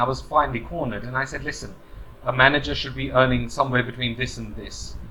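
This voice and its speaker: Very fast speech from a man, over noticeable background noise. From UK. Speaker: corporate trainer. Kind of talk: advice monologue. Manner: casual, hesitant with fillers.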